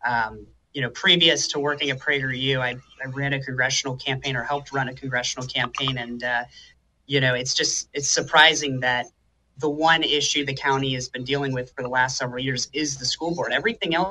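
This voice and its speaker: At a fairly quick pace, a man talks in a medium pitch with an ordinary speaking voice. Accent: American. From Florida. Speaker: recent graduate. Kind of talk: interview. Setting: remote call.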